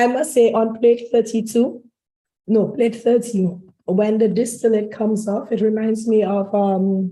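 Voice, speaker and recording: A woman speaks in a dark, mellow, somewhat breathy voice with monotone, flat intonation. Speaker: rum distillery representative. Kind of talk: tasting presentation. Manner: halting.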